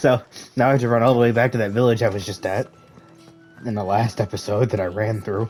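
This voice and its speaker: A raspy, put-on character voice at a very fast pace, broken by long, frequent pauses, with fairly even intonation and faint music in the background. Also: man, medium pitch for a man. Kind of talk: casual gaming commentary. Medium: game stream. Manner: sarcastic, playful.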